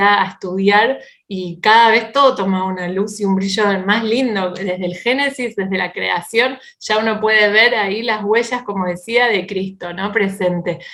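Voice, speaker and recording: Moderate pace, fairly even intonation, a normal speaking voice. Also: woman. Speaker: Bible teacher and speaker. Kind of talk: online talk. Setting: video call.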